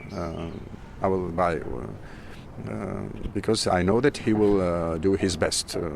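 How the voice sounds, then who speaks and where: A man with a Georgian accent, very deep and low in pitch, with lively intonation at a very slow pace amid noticeable background noise. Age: 50s. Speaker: musician and aspiring winemaker. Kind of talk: interview. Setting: wine festival. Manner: halting.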